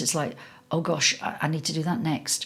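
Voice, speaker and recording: Somewhat breathy speech at a moderate pace, in a slight Scouse accent. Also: woman. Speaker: session singer. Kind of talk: interview conversation. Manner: animated.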